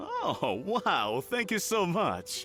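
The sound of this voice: A man's put-on character voice, high-pitched with a bright, sharp tone, very wide pitch swings and a very slow pace, over faint music in the background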